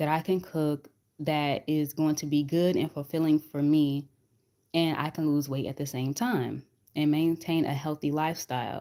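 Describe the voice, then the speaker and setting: A soft-spoken woman's dark, mellow tone at very deep, low pitch, with fairly even intonation and a moderate pace. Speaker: weight loss vlogger. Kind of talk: casual live chat. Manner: repetitive, hesitant.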